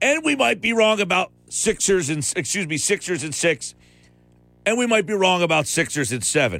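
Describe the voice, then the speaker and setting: A man speaks at a moderate pace in a high pitch, his tone bright, sharp and animated. His intonation is lively. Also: very clean recording, silent background. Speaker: sports radio host. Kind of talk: sports talk radio. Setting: radio studio.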